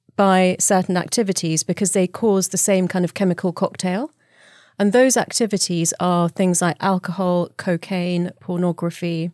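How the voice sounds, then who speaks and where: A woman with a normal speaking voice, medium in pitch, speaks at a moderate pace with fairly even intonation and very even loudness, on a very clean recording with a silent background and a dry, close sound with no echo. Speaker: doctor, neuroscience expert. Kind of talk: podcast interview answer.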